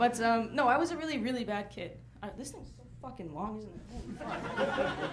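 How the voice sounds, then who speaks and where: Noticeable background noise and audible room echo frame a woman with an American accent and a fairly high pitch. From North Carolina, US South. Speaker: stand-up comedian. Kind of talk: stand-up.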